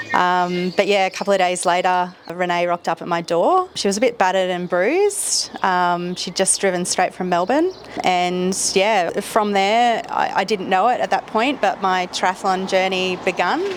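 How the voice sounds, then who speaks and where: A woman in an Australian accent, medium pitch, fairly even intonation, moderate pace and hardly any pauses. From Australia, Brisbane. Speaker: triathlon social media creator and supporter. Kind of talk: podcast interview.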